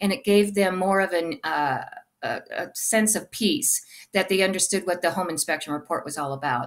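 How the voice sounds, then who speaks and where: Using an ordinary speaking voice, a woman talks at a moderate pace with a fairly low pitch and lively intonation. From Arizona. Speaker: real estate agent. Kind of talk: interview. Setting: live video stream. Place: home room. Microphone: webcam.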